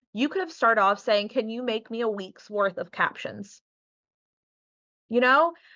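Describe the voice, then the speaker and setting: A woman with a slight Southern US accent speaks at a moderate pace with lively intonation and long, frequent pauses. Her fairly high voice has a bright, sharp tone over a quiet background. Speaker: boudoir photographer and business workshop teacher. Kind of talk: workshop tutorial with screen share. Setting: live video recording. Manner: relaxed, casual conversational.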